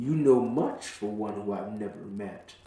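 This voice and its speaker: Putting on a booming character voice at a fairly low pitch, a man talks at a moderate pace with slight echo. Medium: read story. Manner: booming, menacing.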